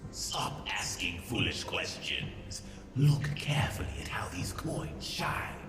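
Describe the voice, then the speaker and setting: Whispering in a put-on character voice, a man speaks at a fairly slow pace with a clear echo and loud background noise. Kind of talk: archaic speech. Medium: game stream. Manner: scornful, manipulative.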